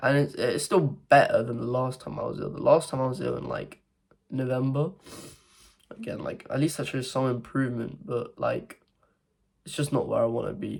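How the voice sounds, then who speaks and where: This man talks at a moderate pace with a British accent. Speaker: young entrepreneur vlogger. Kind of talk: casual vlog monologue. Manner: speaking quietly; halting, many fillers and restarts.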